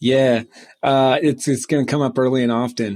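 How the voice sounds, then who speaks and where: A man speaks at a fairly high pitch with a slight Southern US accent. The sound is dry and close, with no echo. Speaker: author and publishing company CEO. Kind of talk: podcast interview. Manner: halting, many fillers.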